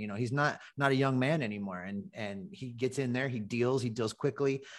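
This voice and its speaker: An unremarkable speaking voice from a man with an American accent, medium in pitch and lively in intonation, at a fairly quick pace over a quiet background. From Ohio, US Midwest. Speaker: baseball podcaster. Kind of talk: casual chat.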